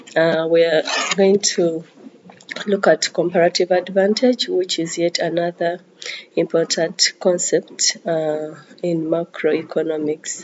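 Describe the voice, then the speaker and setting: A woman with a fairly low pitch talks at a fairly slow pace with fairly even intonation over noticeable background noise. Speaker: economics teacher. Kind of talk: lecture. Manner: hesitant, many fillers.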